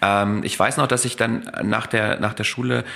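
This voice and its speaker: A man speaks at a moderate pace in a fairly low voice over noticeable background noise. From East Germany. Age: 40s. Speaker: neurologist. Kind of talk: casual interview. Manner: halting, many filler sounds.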